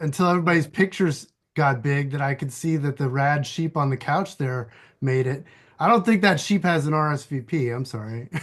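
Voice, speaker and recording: Against a quiet background, a man speaks fairly quickly in a fairly high, somewhat breathy voice. His pitch varies in an ordinary way. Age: 50s. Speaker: environmental activist and archivist. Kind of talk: casual chat. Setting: video call.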